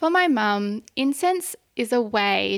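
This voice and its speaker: Her Australian accent comes through on a very clean recording where the woman's background is silent. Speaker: audio storyteller. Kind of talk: scripted narration.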